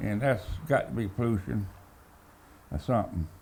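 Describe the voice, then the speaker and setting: With a coastal Georgia accent, a somewhat breathy man speaks with lively intonation in a room with audible echo. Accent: Southern US, coastal Georgia. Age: old. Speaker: fisherman and beekeeper. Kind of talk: casual storytelling. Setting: stage with audience.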